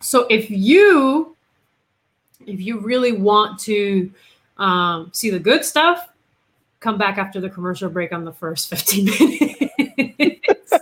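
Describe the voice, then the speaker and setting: Her fairly high, somewhat breathy voice moves through very wide pitch swings and big swings in loudness as this woman speaks at a very slow pace. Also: very clean recording, silent background. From Puerto Rico. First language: Spanish. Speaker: investigative reporter. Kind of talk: casual interview chat.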